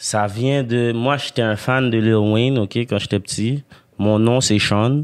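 Very slow and very even in loudness, a man's voice sits at a medium pitch with fairly even intonation. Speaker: rapper. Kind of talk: casual chat.

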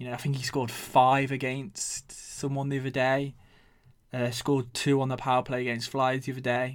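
A man speaks with an English accent at a moderate pace and medium pitch. His intonation is flat and monotone, on a very clean recording with a silent background. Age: 20s. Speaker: podcast host. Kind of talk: casual monologue.

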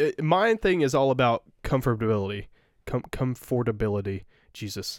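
A man with a plain, everyday voice talks at a moderate pace with lively intonation, recorded dry and close with no echo. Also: medium pitch for a man, very clean recording, silent background. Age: 20s. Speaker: podcast co-host. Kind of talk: casual chat.

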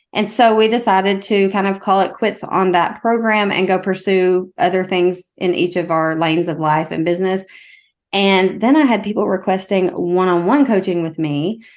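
Here a woman speaks in a Southern US accent. The background is quiet. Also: medium pitch for a woman, ordinary pitch variation, moderate pace. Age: 40s. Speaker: mindset coach. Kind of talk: casual chat.

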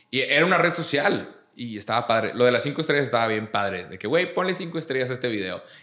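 In a room with audible echo, a man rattles along at a very fast pace with hardly any pauses, lively intonation, and a medium pitch. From Mexico, Monterrey. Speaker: YouTuber and comedian. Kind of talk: casual chat.

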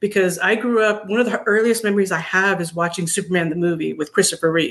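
A woman speaks at a medium pitch with fairly even intonation in a plain, everyday voice. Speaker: viewer guest.

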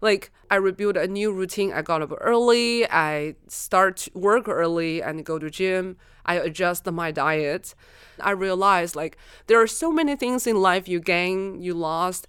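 A woman's medium-pitched voice, an ordinary speaking voice, at a fairly slow pace with ordinary pitch variation. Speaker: innovation consultant. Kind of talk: casual chat. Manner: giggly, upbeat.

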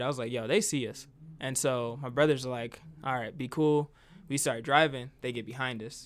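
Over a silent background in a very clean recording, a man with an American accent talks at a fairly quick pace in a normal speaking voice, with medium pitch and fairly even intonation. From US Midwest, Decatur, Illinois. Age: 20s. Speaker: comedian. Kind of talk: casual chat.

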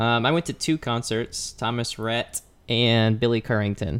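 Here is a man with an ordinary speaking voice at a medium pitch. He talks at a fairly slow pace with fairly even intonation. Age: 20s. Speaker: podcast co-host, healthcare worker.

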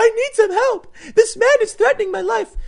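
The speaker uses a put-on character voice. The pace is moderate. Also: female-sounding voice, extremely high pitch for a woman. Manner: hysterical.

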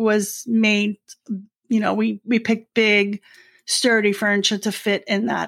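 Her voice sits fairly high for a woman, with fairly even intonation. She speaks with a New York accent. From New York City, Brooklyn. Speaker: retiree. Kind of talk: casual chat.

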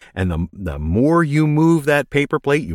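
Upbeat and enthusiastic, a man speaks with very wide pitch swings in a dry, close sound with no echo on a very clean recording with a silent background. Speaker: voice actor and tech video maker. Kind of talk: casual interview chat about microphones and home recording. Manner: upbeat, enthusiastic, encouraging.

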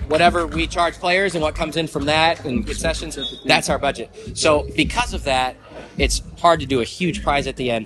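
Noticeable background noise sits behind a man who talks at a moderate pace with an American accent. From Michigan. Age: 20s. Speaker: sports league organizer. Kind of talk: casual interview.

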